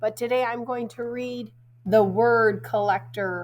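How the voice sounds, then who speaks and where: The woman's voice is somewhat breathy. Audible room echo surrounds it. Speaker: school teacher reading to pupils. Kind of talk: reading aloud to children.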